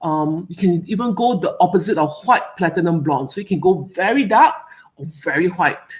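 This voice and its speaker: A somewhat breathy woman with a Singaporean accent speaks at medium pitch with lively intonation, captured in a very clean recording with a silent background. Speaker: hair care expert. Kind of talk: live Q&A presentation. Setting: live stream. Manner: animated.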